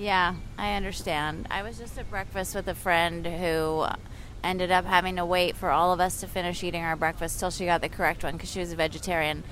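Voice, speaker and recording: In an American accent, a woman with an unremarkable speaking voice and fairly low pitch talks at a fairly quick pace with fairly even intonation. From California. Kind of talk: casual chat. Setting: outdoors, city park.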